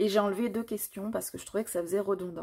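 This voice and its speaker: A woman's very fast speech at a medium pitch, with ordinary pitch variation and vocal fry. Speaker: tarot card reader. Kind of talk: tarot reading.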